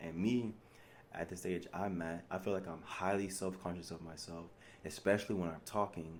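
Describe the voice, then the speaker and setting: Audible room echo around a man's very deep, low voice with fairly even intonation. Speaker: spiritual vlogger. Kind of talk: monologue. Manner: mumbles and slurs when relaxed, mixes slang with proper English.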